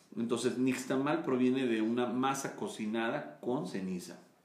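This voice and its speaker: A man speaks at a fairly slow pace with a medium pitch. Room echo can be heard. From Mexico. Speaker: maize and tortilla advocate. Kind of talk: interview.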